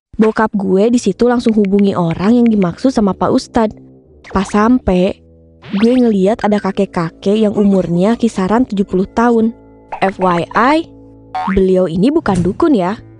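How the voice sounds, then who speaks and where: Loudness stays very even at a moderate pace, with ordinary pitch variation. The sound is dry and close with no echo, and music plays in the background. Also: woman, medium pitch for a woman. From Yogyakarta. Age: 20s. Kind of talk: animated story narration. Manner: casual, slangy.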